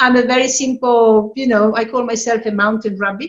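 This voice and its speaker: A woman is speaking. She has an Italian accent. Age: 60s. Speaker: yoga practitioner and translator. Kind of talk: personal testimony at online event.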